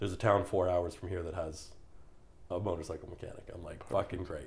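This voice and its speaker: Speaking at a very fast pace, a man with a Canadian accent has a very deep, low pitch. His voice is somewhat breathy, with big swings in loudness. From Canada. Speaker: podcast guest, gym-goer. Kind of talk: casual chat. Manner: animated storytelling.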